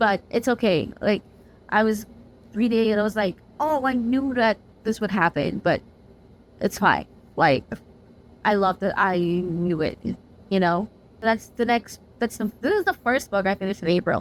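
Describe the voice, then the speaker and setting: Speaking at a moderate pace with a non-native accent, a woman keeps a medium pitch, very even loudness and ordinary pitch variation while taking long, frequent pauses. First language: not English. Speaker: book reviewer. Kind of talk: casual chat. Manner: animated.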